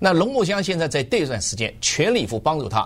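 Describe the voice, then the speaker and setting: This man's voice is fairly high-pitched, with vocal fry. His pitch swings very widely. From Jiangsu, China (Zhenjiang, born Changzhou). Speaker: author and researcher. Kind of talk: radio interview. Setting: radio studio.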